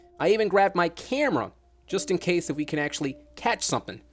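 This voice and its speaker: Music sits in the background while a man talks at a very fast pace. His pitch varies in an ordinary way. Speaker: online show broadcaster. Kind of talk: horror story narration.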